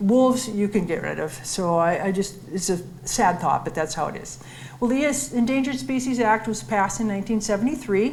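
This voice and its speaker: In a Minnesotan accent, a woman speaks at medium pitch with lively intonation and a somewhat breathy voice, with audible room echo. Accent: Minnesota. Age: 70s. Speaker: wildlife biologist. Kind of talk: public lecture with slides.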